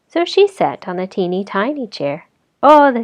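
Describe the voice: Lively intonation in plain reading aloud, quiet background behind it.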